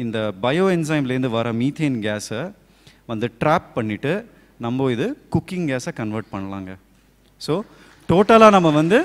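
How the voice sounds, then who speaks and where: A man at a medium pitch speaks with very wide pitch swings. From Hyderabad, India; India. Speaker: sustainable living practitioner; speaker. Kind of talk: speech to audience. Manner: halting. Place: hall. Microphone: handheld.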